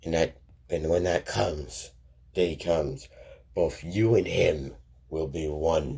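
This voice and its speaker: A man puts on a raspy character voice with a very deep, low pitch. He talks fairly slowly, leaving long, frequent pauses. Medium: read story. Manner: slow, solemn, ponderous.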